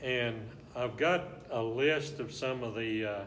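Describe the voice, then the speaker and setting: A man with an Arkansas accent, medium in pitch with ordinary variation, over noticeable background noise. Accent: Southern US (Arkansas). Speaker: local historian, former rodeo rider and air traffic controller. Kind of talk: oral history interview answer.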